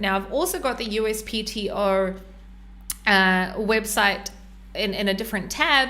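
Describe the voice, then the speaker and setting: A woman speaks with a fairly high pitch and ordinary pitch variation. Some room echo can be heard. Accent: New Zealand. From New Zealand. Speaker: e-commerce brand consultant. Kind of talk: tutorial. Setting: podcast with screen share. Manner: hesitant, many fillers.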